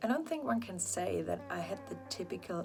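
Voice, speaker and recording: A woman talks at a moderate pace. Behind her, music can be heard. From Germany. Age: 30s. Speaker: equine veterinary surgeon. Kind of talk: professional self-introduction to camera.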